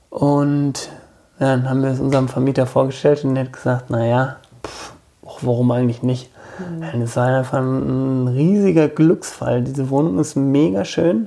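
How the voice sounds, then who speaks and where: Over noticeable background noise, a man speaks at a medium pitch. His pace is moderate and his pitch variation ordinary. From rural Germany, village. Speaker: bookshop owner. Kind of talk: casual interview.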